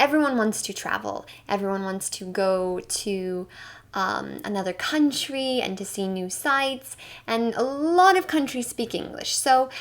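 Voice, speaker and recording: This woman talks at a fairly slow pace with an American accent, her pitch fairly high and her intonation lively. She has an unremarkable speaking voice. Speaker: English teacher. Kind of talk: online English lesson.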